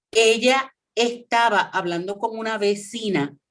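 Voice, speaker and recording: Speaking with a Puerto Rican accent, a woman talks at a very slow pace. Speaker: former radio host. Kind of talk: interview.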